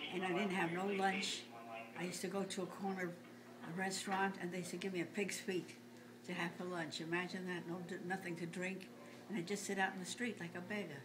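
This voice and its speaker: Through audible room echo and noticeable background noise, a woman speaks very fast in a monotone, flat intonation. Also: medium pitch for a woman. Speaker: grandmother telling family stories. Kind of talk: casual family interview. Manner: halting.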